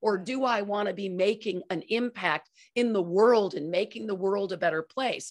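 A woman at a medium pitch speaks at a moderate pace over a quiet background. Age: 50s. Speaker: company founder and culture consultant; podcast co-host. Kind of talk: interview. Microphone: studio mic.

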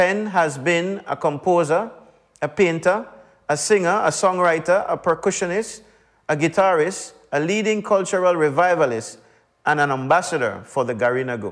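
The speech has ordinary pitch variation and a moderate pace, with a quiet background. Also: man, high pitch for a man. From Belize. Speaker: politician, minister of culture. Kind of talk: formal speech. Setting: virtual broadcast. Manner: formal. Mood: serious, earnest. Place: hall. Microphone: lapel.

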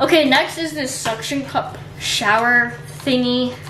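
High female vocals set against clearly audible background noise. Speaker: vlogger. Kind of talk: casual vlog chat. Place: home room. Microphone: camera far.

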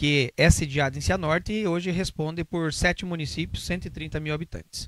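A man with a Curitiba accent talks at a moderate pace and a fairly high pitch. The sound is dry with no echo, and the background is quiet. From Brazil, Curitiba; Brazil. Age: 40s. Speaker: police officer; interviewee. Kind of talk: interview. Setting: studio. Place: studio. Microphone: handheld.

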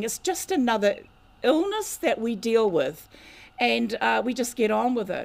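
A woman with a New Zealand accent talks at a moderate pace. Her high pitch swings very widely. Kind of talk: lecture. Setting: community hall with audience.

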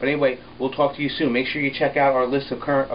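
Against noticeable background noise, a man with an American accent talks very fast at medium pitch. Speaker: town public relations officer. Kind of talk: casual video blog. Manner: rambling, filler-heavy.

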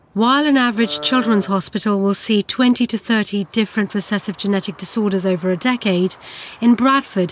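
A woman's voice with a British accent and ordinary pitch variation. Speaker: documentary presenter and reporter. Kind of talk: documentary narration and interviews.

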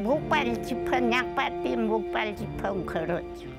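With clear music in the background, a woman speaks in a Jeju accent at a very slow pace. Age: old. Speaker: survivor of a massacre. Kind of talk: interview answer. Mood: recounting painful memories. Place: open country. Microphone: lapel.

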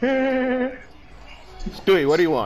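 This is a put-on character voice. Clear background noise runs underneath. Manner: imitating a cartoon dog.

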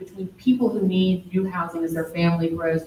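Moderate pace from a woman, audible room echo around her, plus light background noise. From Baton Rouge, Louisiana; Louisiana. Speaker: city community development official, panel moderator; panel moderator. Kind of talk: panel discussion. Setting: gallery with live audience. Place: hall. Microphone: podium.

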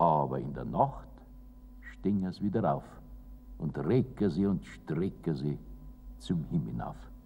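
Pitch swings very widely over a dark, mellow tone with vocal fry, delivered at a very slow pace with long, frequent pauses and light background noise. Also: man, very deep, low pitch for a man. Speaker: poet reciting own poem. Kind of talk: poetry reading. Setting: old recording with treble loss. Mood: warm, lively, humorous.

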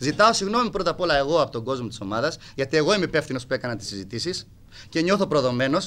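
The speech moves at a very fast pace. Its pitch swings very widely. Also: man. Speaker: football club president. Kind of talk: heated confrontation at press meeting; press conference statement. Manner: abrupt and aggressive; animated, repetitive. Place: hall. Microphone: podium.

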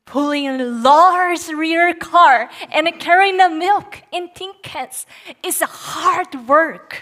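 A woman with an extremely high pitch and a bright, sharp tone speaks very slowly, with big swings in loudness, against a quiet background. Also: ordinary pitch variation. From Japan, Nagoya; Japan. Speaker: Bible college student preacher; speaker. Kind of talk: sermon. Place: stage. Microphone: headset.

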